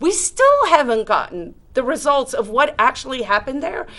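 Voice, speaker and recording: A high-pitched woman speaks in an animated, passionate tone. Her pitch swings very widely. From South Africa. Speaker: liberty activist. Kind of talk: panel discussion.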